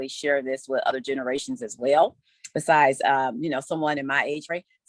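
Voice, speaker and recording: A woman with an American accent, dry and close with no echo, music playing in the background. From Ohio, US Midwest. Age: 50s. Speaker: podcast panelist. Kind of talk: casual chat.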